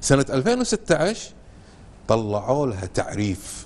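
A man talks with very wide pitch swings. His pace is fairly slow. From Kuwait. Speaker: researcher of Kuwaiti dialect. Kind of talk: TV interview answer. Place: studio. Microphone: lapel.

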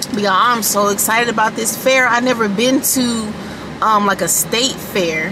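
A woman's voice, dry with no echo, over noticeable background noise. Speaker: family vlogger. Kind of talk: casual vlog chat. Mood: excited. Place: car. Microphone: phone near.

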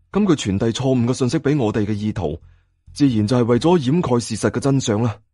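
Fast, lively speech from a man at medium pitch, dark and mellow in tone, in a very clean recording with a silent background.

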